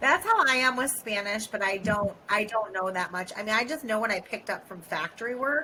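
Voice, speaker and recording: A woman with an American accent speaks fairly quickly with hardly any pauses, her fairly high voice full of lively intonation. Background noise is noticeable. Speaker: podcast co-host. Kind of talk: casual chat.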